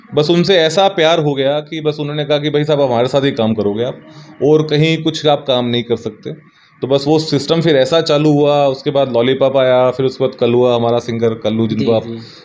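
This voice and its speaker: A man with ordinary pitch variation and hardly any pauses. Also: fairly high pitch for a man, moderate pace. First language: Bhojpuri (speaking Hindi). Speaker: music composer; interviewee. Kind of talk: interview. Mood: relaxed, cheerful. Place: home room. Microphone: handheld.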